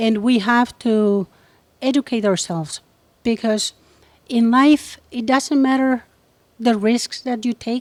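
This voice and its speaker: In a Spanish accent, a woman speaks at a very slow pace with long, frequent pauses, her high voice showing ordinary pitch variation in a dry, close sound with no echo. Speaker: entrepreneur and activist. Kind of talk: interview. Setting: on location.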